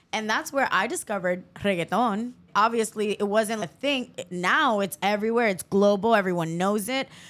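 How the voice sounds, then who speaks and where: Her voice is an ordinary speaking voice, a woman's at medium pitch with ordinary pitch variation. She talks at a moderate pace with hardly any pauses, in a very clean recording with a silent background. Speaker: podcast host. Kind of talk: casual chat.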